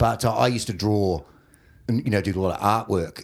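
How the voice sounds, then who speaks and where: Speaking with an Australian accent, a man uses a fairly low pitch with ordinary pitch variation at a moderate pace, in a very clean recording with a silent background. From Australia, Warrnambool, Victoria. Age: 40s. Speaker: comedian. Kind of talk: casual chat. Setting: studio.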